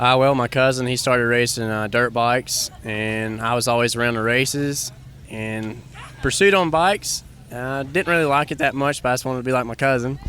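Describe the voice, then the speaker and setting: A man with an East Tennessee accent talks at a fairly quick pace, with a medium pitch and ordinary pitch variation, over noticeable background noise. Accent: East Tennessee Southern US. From Tennessee, Bulls Gap. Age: 20s. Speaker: ATV motocross racer. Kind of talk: interview. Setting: outdoors at a motocross park.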